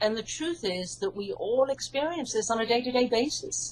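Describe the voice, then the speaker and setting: Speaking at a fairly quick pace with a British accent, a woman uses a fairly high pitch with very wide pitch swings over noticeable background noise. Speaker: hypnotherapist and author. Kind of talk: interview.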